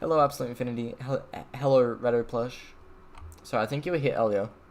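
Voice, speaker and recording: A man does the talking. He speaks in an Australian accent. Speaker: streamer. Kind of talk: casual chat. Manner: casual, disfluent.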